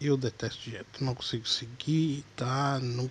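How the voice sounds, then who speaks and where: Over noticeable background noise, a man speaks very slowly at a medium pitch in a monotone, flat intonation. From Minas Gerais, Brazil. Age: 20s. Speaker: podcaster, aspiring comedian. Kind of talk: casual comedic monologue.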